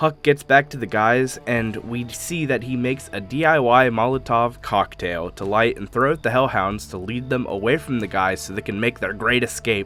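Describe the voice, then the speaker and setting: Music plays behind a man speaking at a medium pitch and a moderate pace. His intonation is lively, with hardly any pauses. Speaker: YouTube show recap host. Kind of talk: casual talk to camera.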